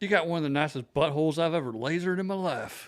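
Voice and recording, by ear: In a put-on, raspy character voice, a man speaks at a very fast pace. His pitch is fairly high.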